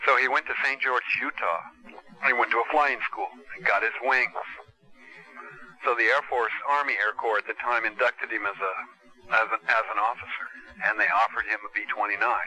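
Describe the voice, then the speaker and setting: Delivered at a moderate pace, the speech has long, frequent pauses over noticeable background noise. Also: man. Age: 60s. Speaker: son of the pilot, interviewee. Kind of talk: documentary interview.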